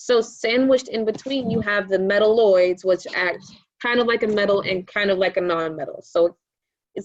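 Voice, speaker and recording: A woman speaks in an unremarkable speaking voice at medium pitch. Her pace is fairly quick, with ordinary pitch variation. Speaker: science teacher and exam prep tutor. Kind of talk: tutorial. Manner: casual, filler words.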